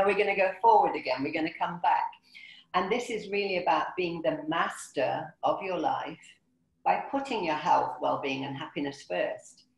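This is a woman with an ordinary speaking voice. Her pitch sits in the medium range. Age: 50s. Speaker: motivational speaker and wellbeing consultant. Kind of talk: webinar presentation. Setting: video call.

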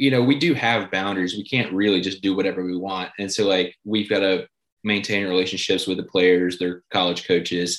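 A man with an American accent and a plain, everyday voice, fairly low in pitch, at a moderate pace. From north Georgia, US. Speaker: sports team co-owner, former journalist. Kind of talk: interview.

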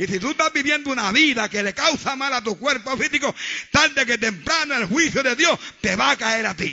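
A man's extremely high-pitched voice with lively intonation at a moderate pace. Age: old. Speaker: pastor. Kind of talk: sermon. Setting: church. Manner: animated.

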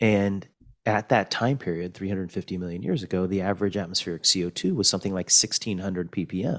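A man with an American accent speaks at a fairly low pitch and a very fast pace. The recording is very clean, with a silent background. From Fresno, California. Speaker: geology professor. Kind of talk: interview conversation.

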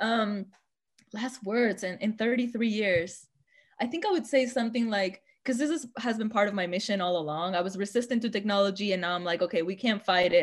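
Her voice is an unremarkable speaking voice of medium pitch. This woman speaks at a fairly quick pace with ordinary pitch variation. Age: 30s. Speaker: visual artist. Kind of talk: casual chat.

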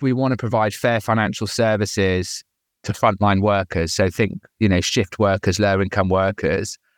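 A man speaks at a moderate pace with an English accent. The sound is dry and close with no echo, over a quiet background. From England. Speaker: startup CEO. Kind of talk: casual interview chat.

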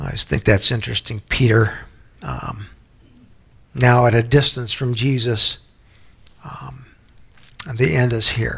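Vocal fry from a man at a medium pitch, speaking at a fairly slow pace. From New Orleans, Louisiana. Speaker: pastor / Bible teacher. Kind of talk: sermon / Bible study teaching. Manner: halting, with fillers and repetitions.

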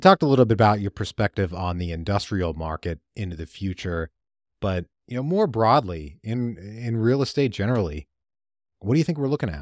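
A man with a normal speaking voice uses a fairly low pitch and lively intonation, recorded with a dry, close sound with no echo on a very clean recording with a silent background. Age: 30s. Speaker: podcast host, real estate investor. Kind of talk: interview. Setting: call.

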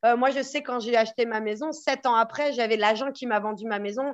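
Over a quiet background, a woman with an ordinary speaking voice talks at a fairly high pitch, with ordinary pitch variation. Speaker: real estate agent. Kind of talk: podcast interview.

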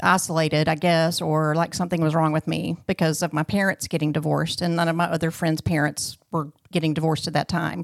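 A woman with a Southern US accent and fairly low pitch, in a very clean, dry, close recording with no echo and a silent background. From Arkansas, US South. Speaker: guest sharing marriage testimony. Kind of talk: testimony.

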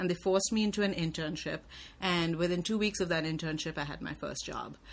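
In a very clean recording with a silent background, a woman with a fairly low-pitched voice speaks with fairly even intonation and vocal fry. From India. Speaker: journalism professor and writer. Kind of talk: interview. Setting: office.

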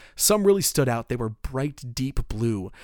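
On a very clean recording with a silent background, a man with a normal speaking voice talks at a moderate pace and medium pitch with lively intonation. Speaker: podcast host and storyteller. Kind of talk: scripted narration with casual storytelling.

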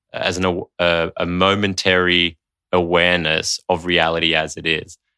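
Very deep and low in pitch, a man with an Australian accent has a bright, sharp tone in a very clean recording with a silent background and a dry, close sound with no echo. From Australia, Sydney. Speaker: developmental coach and meditation teacher. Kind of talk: casual chat.

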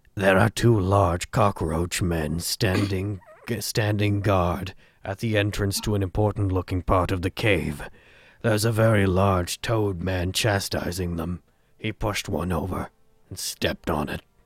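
A man puts on a character voice. It is very deep and low in pitch, delivered at a moderate pace. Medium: actual play. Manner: concise, reporting.

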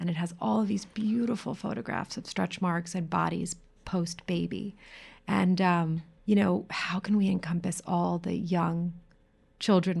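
A somewhat breathy woman at a fairly low pitch and a moderate pace, against a quiet background. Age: 40s. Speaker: podcast host, self-love coach. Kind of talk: casual interview chat.

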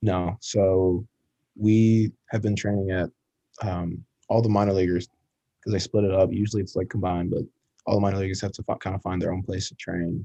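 Speaking at a fairly quick pace yet with long, frequent pauses, a man with an American accent has a dark, mellow tone and monotone, flat intonation over a quiet background. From Ann Arbor, Michigan, US Midwest. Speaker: minor league baseball player. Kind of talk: casual interview.

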